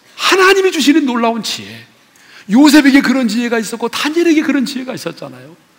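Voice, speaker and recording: Here a man talks at a very fast pace in an extremely high pitch. His intonation is lively. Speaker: pastor. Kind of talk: sermon. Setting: church. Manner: animated.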